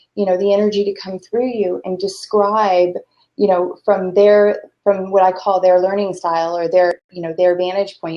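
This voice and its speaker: Speaking in a normal speaking voice, a woman keeps a moderate pace. Her medium pitch has fairly even intonation. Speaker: talk show host. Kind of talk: interview conversation.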